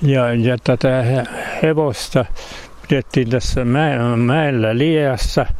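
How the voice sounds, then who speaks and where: Over noticeable background noise, a man talks very slowly with fairly even intonation. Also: medium pitch for a man. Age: 80s+. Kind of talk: storytelling. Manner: halting.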